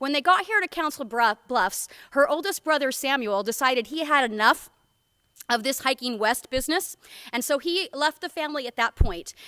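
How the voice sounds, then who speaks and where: A woman's high-pitched voice is raised and projected, at a moderate pace. The sound is dry and close, with no echo. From US Northwest, Portland Oregon. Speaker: education curriculum director. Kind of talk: keynote speech. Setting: conference stage with audience, microphone. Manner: loud; casual, many fillers.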